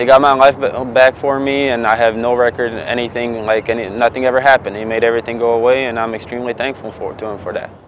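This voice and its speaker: A man with a Bosnian accent talks at a very fast pace and medium pitch in a monotone, flat intonation, with noticeable background noise. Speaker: client, former Marine. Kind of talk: testimonial.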